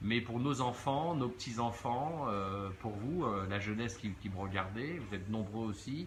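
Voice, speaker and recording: Audible room echo surrounds the voice. A man talks at a fairly slow pace. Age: 60s. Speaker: social media commentator. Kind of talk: live stream monologue. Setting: outdoors at a beach. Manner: hesitant, many fillers.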